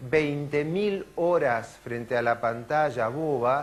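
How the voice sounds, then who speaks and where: A man's fairly high voice at a very slow pace, with audible room echo. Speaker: neurologist and lecturer. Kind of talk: conference talk. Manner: animated.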